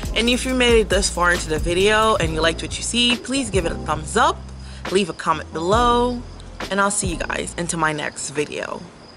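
Clear music sounds behind the voice. A woman talks fairly quickly. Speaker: lifestyle vlogger. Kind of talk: casual vlog chat. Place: garden. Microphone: phone near.

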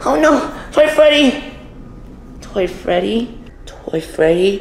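Over faint background noise, a woman puts on a cartoonish character voice at medium pitch, slow in pace, with vocal fry and big pitch swings.

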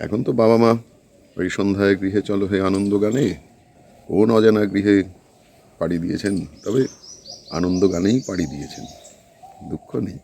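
A man with a fairly low pitch and ordinary pitch variation can be heard through noticeable background noise. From northern Kolkata, West Bengal. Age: old. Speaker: retiree video blogger. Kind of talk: casual home-tour chat to viewers. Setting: walking tour of his house.

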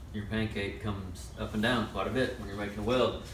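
Moderate pace, with audible room echo and light background noise. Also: man. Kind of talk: casual tutorial talk. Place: workshop. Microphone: camera far.

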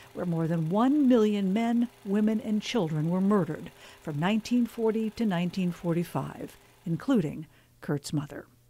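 A woman's somewhat breathy, dark, mellow voice at a medium pitch and moderate pace, full of lively intonation. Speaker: news reporter. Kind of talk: news feature narration.

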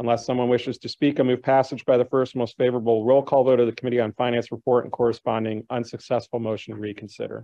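A man with an American accent at a very fast pace, monotone and flat in intonation, with hardly any pauses against a quiet background. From Chicago. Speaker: city council member. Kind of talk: formal council proceedings. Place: hall. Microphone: podium.

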